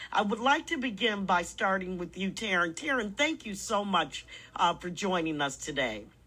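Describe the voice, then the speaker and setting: A woman speaks at a moderate pace in a medium pitch, her bright, sharp voice showing vocal fry and very wide pitch swings, in a very clean recording with a silent background. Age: 60s. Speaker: radio host. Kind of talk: radio interview.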